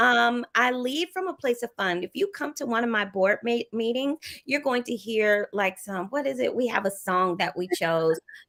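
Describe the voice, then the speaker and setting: A woman's fairly high, bubbly, cheerful voice in a Southern US accent, with very wide pitch swings, a moderate pace, hardly any pauses, and a dry, close sound with no echo. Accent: Southern US, lasting. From US South. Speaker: educator and non-profit leader. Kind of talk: interview conversation.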